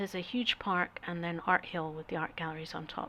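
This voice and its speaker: A fairly low-pitched woman's voice with a Scottish accent and a bright, sharp tone. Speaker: artist and travel vlogger. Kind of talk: travel talk over slideshow. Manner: hesitant, many fillers.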